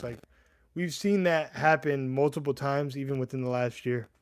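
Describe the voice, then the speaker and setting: A man speaks with a US East Coast accent. The recording is very clean, with a silent background. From US East Coast, Connecticut, Puerto Rican family. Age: 30s. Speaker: MMA livestreamer. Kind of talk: casual livestream chat. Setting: YouTube livestream. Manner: casual, halting with restarts.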